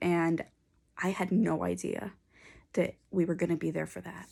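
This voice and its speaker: A woman speaks with an American accent at a moderate pace. The recording is very clean, with a silent background. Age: 20s. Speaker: mental health vlogger. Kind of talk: personal vlog. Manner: hesitant, many fillers.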